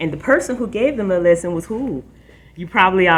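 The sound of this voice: A reading voice without force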